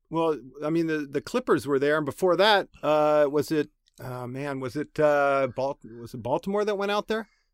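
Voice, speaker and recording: In a normal speaking voice, a man with a fairly high pitch talks at a moderate pace with lively intonation, on a very clean recording with a silent background. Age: 50s. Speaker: college baseball coach and podcast host. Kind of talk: casual chat.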